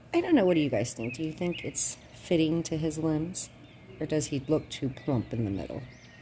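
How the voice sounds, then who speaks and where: A woman with a very deep, low pitch and a dark, mellow tone talks at a fairly quick pace, with vocal fry and ordinary pitch variation. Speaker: reborn doll collector vlogger. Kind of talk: casual chat. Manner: rambling, hesitant.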